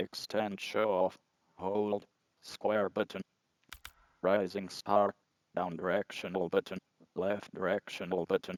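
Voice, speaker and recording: Using a put-on character voice, a man speaks fairly slowly at a fairly low pitch in a monotone, flat delivery. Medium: video game. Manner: monotone, mechanical.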